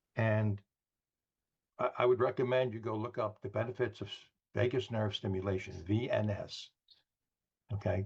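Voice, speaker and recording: A man with an American accent speaks at a moderate pace and a medium pitch, with fairly even intonation. His voice is somewhat breathy, with long, frequent pauses. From New York. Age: 70s. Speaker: wellness product distributor. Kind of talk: product presentation on a group call.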